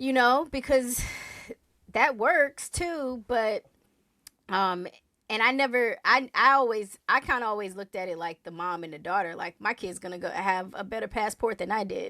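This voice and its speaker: On a very clean recording with a silent background, a woman with a fairly high pitch and a bright, sharp tone speaks at a moderate pace, her intonation lively and her loudness swinging widely. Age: 40s. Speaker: podcast host. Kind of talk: casual chat.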